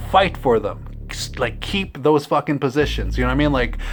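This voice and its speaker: A man talks at a fairly quick pace in an animated tone. His pitch varies in an ordinary way. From Canada, Manitoba. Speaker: vlogger, musician. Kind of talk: casual vlog monologue. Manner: animated, frequent fillers.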